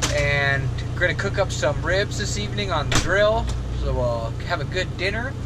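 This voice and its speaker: A man talks at a moderate speed against loud background noise, his voice dry and free of echo. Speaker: vlogger. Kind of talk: casual vlog chat. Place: home room. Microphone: phone near.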